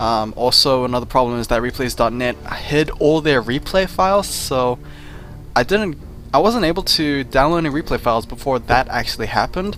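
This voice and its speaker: Medium-pitched male voice with lively intonation at a fairly quick pace, music in the background. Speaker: game commentator. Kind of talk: casual talk to camera.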